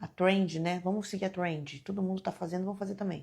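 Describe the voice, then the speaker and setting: Soft-spoken and somewhat breathy, the voice has a dark, mellow tone and moves at a fairly quick pace. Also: woman. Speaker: devotional speaker. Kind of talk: devotional talk. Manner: animated.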